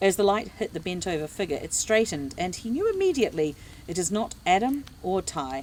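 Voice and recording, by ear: Text is read aloud by someone using a natural voice.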